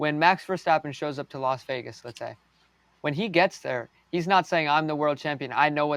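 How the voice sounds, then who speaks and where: Delivered at a moderate pace with ordinary pitch variation, a plain, everyday voice with an American accent sounds dry and close, without echo. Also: man, fairly high pitch for a man. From United States. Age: young. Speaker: race car driver. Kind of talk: interview.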